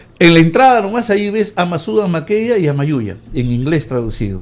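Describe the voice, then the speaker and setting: A man with a high pitch, very wide pitch swings and a fairly quick pace. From Peru, Ancash. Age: 70s. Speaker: professional, civic commentator. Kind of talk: radio interview.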